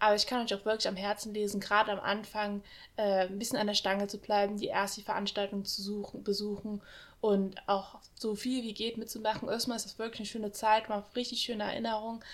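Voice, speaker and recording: At a very fast pace, a woman speaks with a fairly high pitch and monotone, flat intonation. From Saarland region, Germany. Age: 20s. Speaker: university student. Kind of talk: casual chat.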